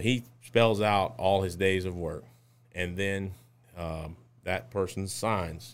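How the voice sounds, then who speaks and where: In a Louisiana accent, a man talks at a very slow pace with a very deep, low pitch and ordinary pitch variation, on a very clean recording with a silent background. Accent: Southern US (Louisiana). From Louisiana, Lake Charles. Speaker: safety consulting business owner. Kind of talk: interview.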